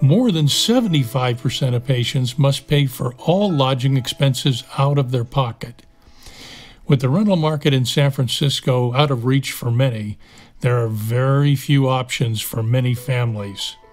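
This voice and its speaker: At a moderate pace, a man talks in a somewhat breathy voice of medium pitch with ordinary pitch variation. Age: 60s. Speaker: cancer patient and video narrator. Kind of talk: scripted narration.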